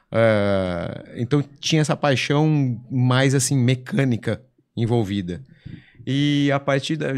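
The speaker talks at a very slow pace with ordinary pitch variation. The background is quiet. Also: man, medium pitch for a man. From São Paulo state, Brazil (São José do Rio Preto); São Paulo, Brazil. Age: 40s. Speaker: drag racing driver; podcast guest. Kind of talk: casual interview chat. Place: studio. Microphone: studio mic.

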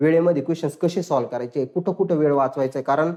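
This is a man speaking. His tone is animated. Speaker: exam coaching teacher. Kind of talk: online tutorial lecture.

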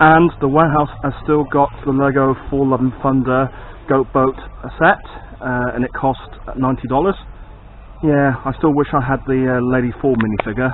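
At a moderate pace and with fairly even intonation, a man talks with long, frequent pauses over light background noise, the sound dry with no echo. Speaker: toy collector vlogger. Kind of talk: casual vlog chat. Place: shop. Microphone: phone near.

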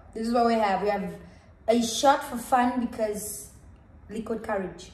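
A woman's fairly high voice with ordinary pitch variation and an upbeat tone, broken by long, frequent pauses, with audible room echo. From South Africa, Cape Town. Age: 20s. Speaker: dance and drama instructor. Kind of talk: casual talk to camera. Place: home room. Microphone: camera far.

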